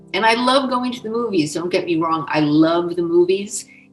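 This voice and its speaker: A woman talks fairly quickly while music plays behind her. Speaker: former scientist. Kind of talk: interview answer.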